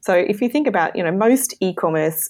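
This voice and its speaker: Speaking with an Australian accent, a woman talks at a moderate pace and a medium pitch. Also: very clean recording, silent background. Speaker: e-commerce marketing consultant. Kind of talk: interview.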